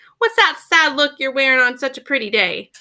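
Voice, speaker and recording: A put-on character voice moves at a fairly quick pace in a sing-song way. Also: woman, high pitch for a woman. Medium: read story. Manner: sing-songy, warm.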